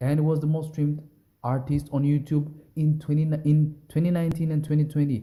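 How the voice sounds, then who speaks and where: The man's voice sits at a fairly high pitch and is somewhat breathy, with a dark, mellow tone. He talks at a moderate pace. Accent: non-native. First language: not English. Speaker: music commentary YouTuber. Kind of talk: casual reaction commentary. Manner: rambling, halting with restarts.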